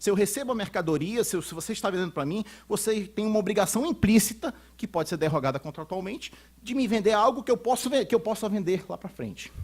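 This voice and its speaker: Talking at a very fast pace, a man uses lively intonation and a high pitch. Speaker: lawyer and law professor, conference speaker. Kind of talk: conference lecture. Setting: auditorium with audience. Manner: halting, many repetitions and fillers.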